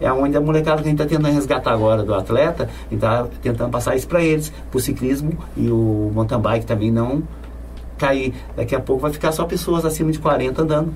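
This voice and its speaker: Speaking at a very fast pace with very even loudness, a man is heard through audible room echo and noticeable background noise. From São Paulo state, Brazil. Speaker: bike mechanic and cyclist. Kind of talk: casual interview. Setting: studio.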